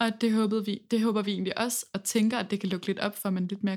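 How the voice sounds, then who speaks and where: A woman speaks at medium pitch with a somewhat breathy voice. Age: 20s. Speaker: singer in a band, music student. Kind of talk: casual interview chat. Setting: university classroom.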